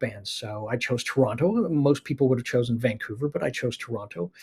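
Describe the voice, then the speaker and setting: A somewhat breathy, medium-pitched male voice with an American accent and lively intonation. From Canada (Winnipeg, then British Columbia). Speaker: animation producer. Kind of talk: casual interview chat. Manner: halting, many fillers.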